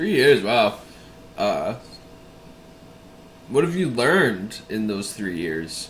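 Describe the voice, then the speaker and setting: Speaking with an American accent, a man at medium pitch moves through very wide pitch swings at a very slow pace. Long, frequent pauses break up his speech, and audible room echo surrounds it. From Massachusetts. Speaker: YouTube interviewer. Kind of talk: interview.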